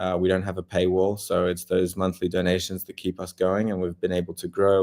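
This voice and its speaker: Speaking in an Australian accent, a man with a very deep, low pitch holds a monotone, flat intonation in a very clean recording with a silent background. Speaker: war journalist. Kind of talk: interview. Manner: hesitant, many fillers.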